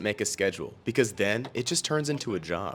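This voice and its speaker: A man talks at a fairly quick pace with very wide pitch swings, music playing in the background. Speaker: college TV news reporter. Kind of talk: TV news broadcast reporting. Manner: light, playful.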